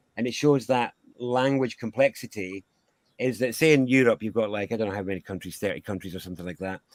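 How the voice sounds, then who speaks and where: Talking at a very fast pace with a Scottish accent, a man shows big swings in loudness and ordinary pitch variation in a dry, close sound with no echo. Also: medium pitch for a man. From Scotland. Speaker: sound healer. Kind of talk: interview.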